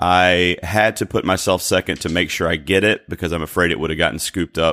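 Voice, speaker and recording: A man's very deep, low voice with an American accent, bright and sharp in tone with ordinary pitch variation, dry and close with no echo in a very clean recording with a silent background. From North Carolina. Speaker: podcast host guest. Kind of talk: casual chat.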